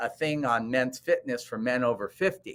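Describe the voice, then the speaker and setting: With a bright, sharp tone, a man talks at a moderate pace and a medium pitch, using ordinary pitch variation. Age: 60s. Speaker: cosmetic dentist. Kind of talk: interview.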